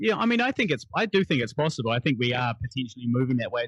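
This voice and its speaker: A man with a New Zealand accent talks very fast at medium pitch, somewhat breathy, with ordinary pitch variation in a dry, close sound with no echo. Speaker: actor and poet. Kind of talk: podcast interview answer.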